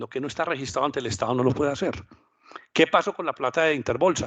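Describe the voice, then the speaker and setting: A man talks at a very fast pace in a fairly high pitch. The background is quiet. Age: 60s. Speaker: finance professor and former bank manager. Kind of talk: lecture.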